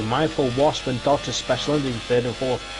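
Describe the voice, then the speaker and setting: Moderate-paced speech with a British accent over noticeable background noise. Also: man. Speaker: sim racing commentator. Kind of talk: live commentary. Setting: live stream.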